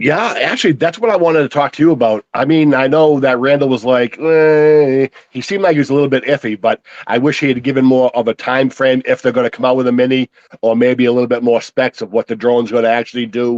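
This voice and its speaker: This man talks at a very fast pace and a medium pitch, with a Boston accent and ordinary pitch variation. The sound is dry and close, with no echo. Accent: thick Boston. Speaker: drone hobbyist. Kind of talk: casual chat.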